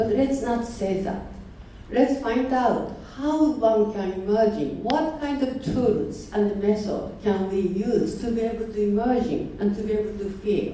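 A woman with a Japanese accent at a fairly high pitch and fairly slow pace, with ordinary pitch variation, audible room echo and noticeable background noise. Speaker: artist and teacher. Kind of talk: seminar talk.

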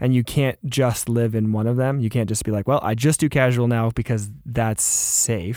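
A man speaks at a moderate pace with hardly any pauses, in a medium pitch. His tone is dark and mellow, and his intonation is fairly even. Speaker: podcast host. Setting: podcast studio.

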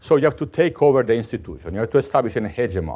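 With an Italian accent, a man talks at a very fast pace with lively intonation. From Italy. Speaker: mathematics professor. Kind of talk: lecture; answering audience questions.

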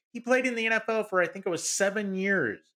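A man with a high pitch and a raised, projected voice speaks at a fairly quick pace, with ordinary pitch variation. His bright, sharp tone sounds animated on a very clean recording with a silent background. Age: 40s. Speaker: sports podcast co-host. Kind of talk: casual chat.

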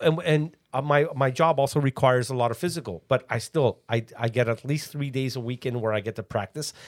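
An unremarkable speaking voice from a man, medium in pitch with ordinary pitch variation, at a fairly quick pace with hardly any pauses, in a very clean recording with a silent background. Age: 50s. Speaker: musician and father. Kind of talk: casual chat.

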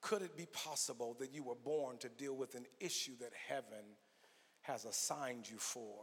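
At a moderate pace, a man speaks in a normal speaking voice, medium in pitch with ordinary pitch variation. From Los Angeles, US. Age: 50s. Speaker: guest preacher. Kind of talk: sermon. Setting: church with congregation.

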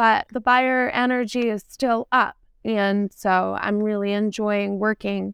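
Against a quiet background, a woman with an American accent speaks very slowly at a medium pitch, her intonation monotone and flat, the sound dry and close with no echo. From New Hampshire seacoast, US. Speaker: real estate agent. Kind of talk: interview.

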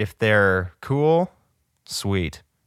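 Recorded very cleanly over a silent background, a man speaks at a fairly low pitch with lively intonation. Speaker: podcast host. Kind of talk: solo casual monologue. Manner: rambling, filler words, self-deprecating; laid-back.

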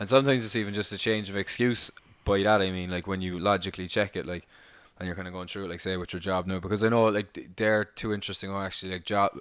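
Very fast and monotone, with flat intonation, a man with an Irish accent speaks at a fairly low pitch on a very clean recording with a silent background. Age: 20s. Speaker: podcast co-host. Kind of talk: casual chat.

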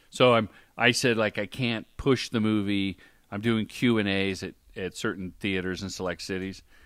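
A normal speaking voice with fairly even intonation at a moderate pace, on a very clean recording with a silent background. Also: man, fairly low pitch for a man. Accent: American. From Ohio. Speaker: film and commercial director, former stand-up comedian. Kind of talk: podcast interview.

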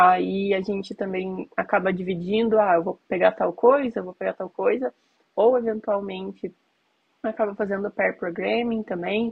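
A woman's medium-pitched voice at a moderate pace, fairly even in intonation, an ordinary speaking voice. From Curitiba, southern Brazil. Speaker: iOS software engineer. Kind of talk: casual chat.

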